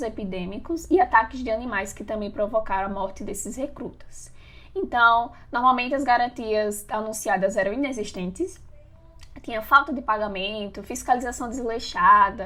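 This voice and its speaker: A woman with a plain, everyday voice talks at a moderate pace in a fairly high pitch, with ordinary pitch variation and big swings in loudness. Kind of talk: podcast discussion.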